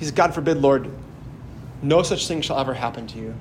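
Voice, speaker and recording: Amid noticeable background noise and audible room echo, a man with an American accent speaks at a medium pitch with ordinary pitch variation. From Wisconsin, near Sheboygan. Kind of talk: homily. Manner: halting, repeats words.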